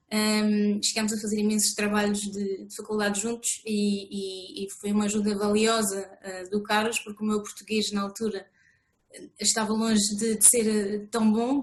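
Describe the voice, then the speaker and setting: The speaker is a woman with a fairly high pitch. Her intonation is monotone and flat. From France. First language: French (speaking Portuguese). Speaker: author. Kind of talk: interview. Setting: video call. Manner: hesitant, many fillers.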